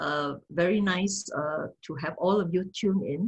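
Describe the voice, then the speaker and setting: Somewhat breathy, a woman's voice comes through. The background is quiet. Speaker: speaker. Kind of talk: lecture. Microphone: video call.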